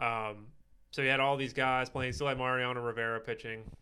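Bright and sharp in tone, a man with an American accent talks at a very fast pace. His intonation stays monotone and flat. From Pittsburgh, Pennsylvania. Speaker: podcast guest. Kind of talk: casual chat.

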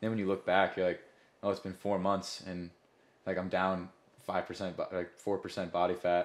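A man's very deep, low voice in a flat monotone at a moderate pace, on a very clean recording with a silent background. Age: 20s. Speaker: fitness coach. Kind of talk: casual chat. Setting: studio.

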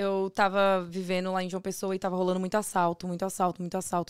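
On a very clean recording with a silent background, a woman with a medium pitch speaks at a fairly quick pace. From Brazil, Northeast. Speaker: ice pop business owner. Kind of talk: casual chat.

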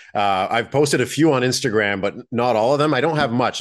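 With an Acadian accent, a man speaks at a medium pitch with ordinary pitch variation against a quiet background. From New Brunswick, Acadian French community near Moncton. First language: French. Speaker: sports card collector and dealer. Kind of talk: casual interview.

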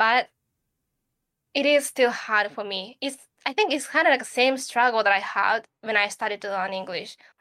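Someone with a Japanese accent speaks at a moderate pace in a bright, sharp tone with ordinary pitch variation, recorded very cleanly against a silent background. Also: woman, fairly high pitch for a woman. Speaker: podcast co-host. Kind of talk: casual chat.

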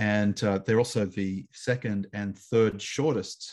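A man with an Australian accent speaks at a fairly slow pace, his pitch fairly low. His pitch moves in an ordinary way against a quiet background. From Australia (Canberra). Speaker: New Testament scholar. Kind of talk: interview on biblical studies. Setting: remote call.

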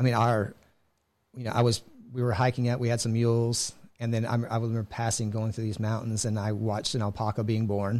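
The speaker has an American accent and a fairly quick pace. The intonation is monotone and flat. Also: man, medium pitch for a man. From Texas, Houston area. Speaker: cybersecurity sales director, Navy veteran. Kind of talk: interview.

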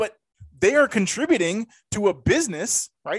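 This man speaks at a high pitch, his voice swinging very widely up and down. The sound is dry and close, with no echo. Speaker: sports podcast host. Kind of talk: casual sports podcast chat. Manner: fast talker.

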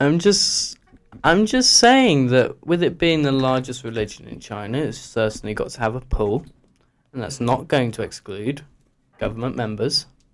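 A man's ordinary speaking voice at medium pitch, moderate pace, lively intonation, and big swings in loudness. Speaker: guest panellist. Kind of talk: casual group discussion.

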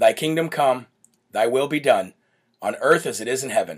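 A man puts on a raspy character voice at medium pitch and a moderate pace, recorded very cleanly with a silent background. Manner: slow, deliberate.

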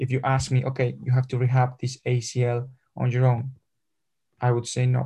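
With a Spanish accent, a man speaks at medium pitch in a dark, mellow, somewhat breathy tone. His intonation is monotone and flat, his loudness very even, and he leaves long, frequent pauses. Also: moderate pace. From Spain, Madrid. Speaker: football physical therapist and sports scientist. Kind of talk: interview. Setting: video call. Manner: halting.

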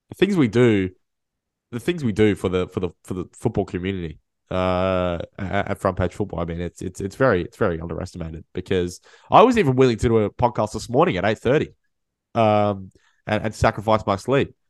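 A man's nasal, fairly low voice with lively intonation. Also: fairly quick pace.

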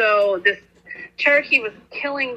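A woman is speaking. Her pitch is fairly high. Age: 30s. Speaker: basketball coach. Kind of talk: casual interview.

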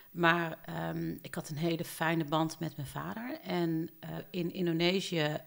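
Fairly slow speech from a woman with a very deep, low pitch. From southern Netherlands, Eindhoven. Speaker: podcast co-host. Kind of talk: casual chat. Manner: halting.

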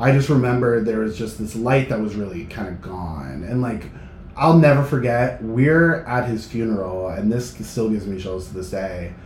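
An animated man with an American accent talks at a medium pitch and moderate pace with lively intonation, amid noticeable background noise and audible room echo. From New Hampshire, US. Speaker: concert promotions manager. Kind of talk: casual chat.

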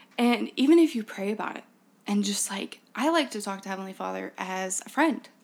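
A woman speaks at a fairly quick pace with big swings in loudness. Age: 20s. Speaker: young woman sharing recovery story. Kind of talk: testimony. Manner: halting.

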